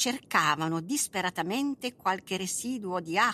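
Lively intonation runs through a natural reading voice here.

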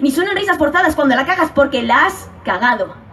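Her high-pitched voice is animated and passionate, with lively intonation and a fairly quick pace. The woman is heard over noticeable background noise. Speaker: slam poet competitor. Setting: stage with audience. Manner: animated, passionate, fast-paced, rhythmic delivery with urgent emphasis.

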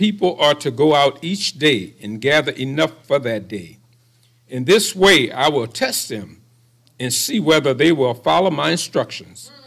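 Against a quiet background, a man speaks at a fairly slow pace with vocal fry, a fairly high pitch and lively intonation. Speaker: scripture reader. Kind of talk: reading aloud. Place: hall. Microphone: podium.

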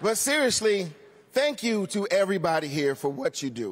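Light background noise sits behind speech with very wide pitch swings. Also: man. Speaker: awards show host, comedian. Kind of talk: live stand-up comedy monologue. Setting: live audience in a large theater. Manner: jokey, upbeat, playful. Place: stage. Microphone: handheld.

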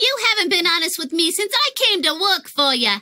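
At a fairly quick pace, a woman talks in an extremely high pitch with very wide pitch swings. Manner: livid, barking.

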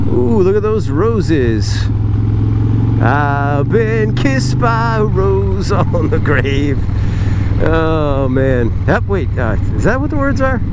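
Over loud background noise, a man talks at a very slow pace, the sound dry with no echo. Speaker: motovlogger. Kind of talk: casual talk to camera while riding. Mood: relaxed, joking. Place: motorbike.

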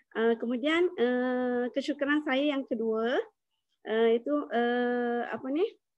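A woman speaks very slowly in a high voice with ordinary pitch variation. The sound is dry with no echo, and the background is quiet. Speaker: network marketing distributor. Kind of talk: testimony. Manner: halting. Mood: grateful, warm. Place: home room. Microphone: too quiet; video call.

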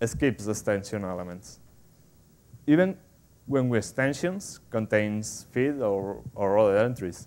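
Someone with a Spanish accent speaks at a fairly slow pace with lively intonation. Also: man. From Spain. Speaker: software developer, conference speaker; conference speaker. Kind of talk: technical conference talk. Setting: stage with audience. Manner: halting, with frequent fillers and repetitions. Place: hall. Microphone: lapel.

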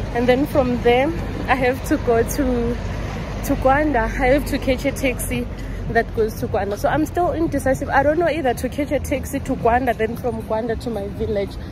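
Music plays behind a woman who speaks at a fairly quick pace and a high pitch, with ordinary pitch variation, in a dry sound with no echo. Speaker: travel vlogger. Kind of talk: casual vlog chat. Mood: cheerful, relaxed. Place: street. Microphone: phone near.

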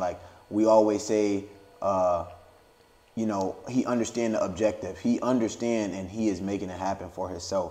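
A man's fairly low voice in a monotone, flat delivery at a moderate pace. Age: young. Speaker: podcast host. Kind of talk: casual chat. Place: home room.

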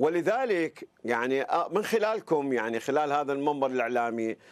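Very wide swings run through the pitch. Nothing much is heard behind it, as the background stays quiet. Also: man. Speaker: former anti-corruption council member. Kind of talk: interview answer.

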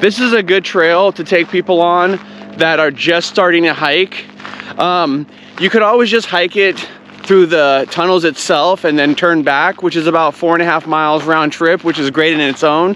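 A man with a high pitch keeps his intonation fairly even and his loudness very even, over light background noise. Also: moderate pace, dry sound with no echo. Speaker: hiking vlogger. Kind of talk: casual vlog chat. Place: open country. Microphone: phone near.

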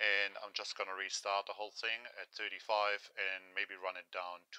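Against a quiet background with a dry sound and no echo, a man speaks at a fairly slow pace and fairly low pitch, his tone bright and sharp and his intonation monotone and flat. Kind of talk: tutorial. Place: workshop. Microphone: phone near.

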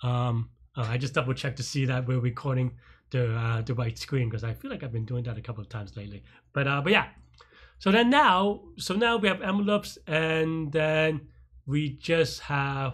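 The background stays quiet. Words come out at a fairly quick pace. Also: man. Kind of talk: tutorial. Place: home room.

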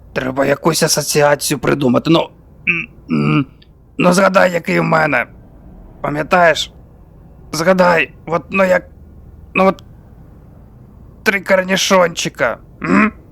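A man puts on a raspy, high-pitched character voice at a moderate pace. His loudness stays very even, broken by long, frequent pauses. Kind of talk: comic overacting. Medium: fan dub.

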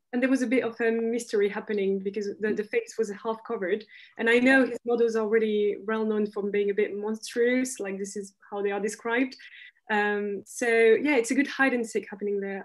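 A woman speaks at a fairly quick pace with a French accent, her pitch fairly high and her intonation fairly even. The background is quiet. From France. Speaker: fashion graduate, panellist; panellist. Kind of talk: panel discussion. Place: home room. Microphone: video call.

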